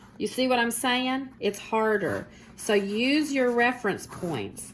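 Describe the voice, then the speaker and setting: A woman at a fairly high pitch and a very slow pace, with noticeable background noise. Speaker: art teacher. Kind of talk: tutorial. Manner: halting.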